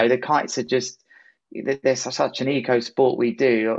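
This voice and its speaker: A man with a southern English accent and fairly even intonation. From southern England, Worthing (West Sussex). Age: 30s. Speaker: pro kitesurfer and motivational speaker. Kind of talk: casual interview.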